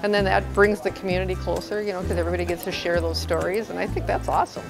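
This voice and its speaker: Clear music plays in the background. Over it, a woman speaks at a very fast pace. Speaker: neighborhood party organizer. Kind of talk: interview answer. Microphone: lapel.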